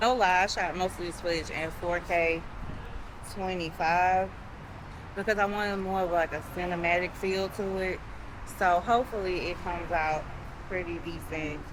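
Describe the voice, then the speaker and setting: A woman's medium-pitched voice at a moderate pace, broken by long, frequent pauses, in a room with audible echo. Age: 40s. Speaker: travel vlogger. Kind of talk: casual vlog narration. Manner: animated.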